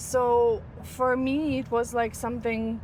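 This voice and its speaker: This woman speaks with a Ukrainian accent. Her pitch is fairly high. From Ukraine. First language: Ukrainian or Russian. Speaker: model and content creator. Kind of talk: casual interview. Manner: halting, searches for words.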